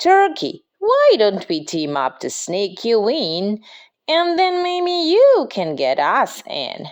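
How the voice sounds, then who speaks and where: A woman speaks very slowly in a high, put-on character voice. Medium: read story.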